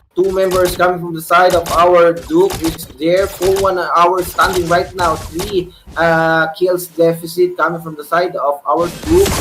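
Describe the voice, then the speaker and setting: Fairly slow speech with hardly any pauses, over noticeable background noise. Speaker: esports caster. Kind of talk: live commentary. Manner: animated.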